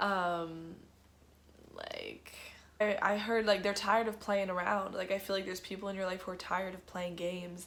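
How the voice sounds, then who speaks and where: Her monotone, flat delivery comes at a moderate pace and medium pitch, as this woman speaks with audible room echo. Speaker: tarot card reader. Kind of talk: tarot reading. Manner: casual, filler-heavy.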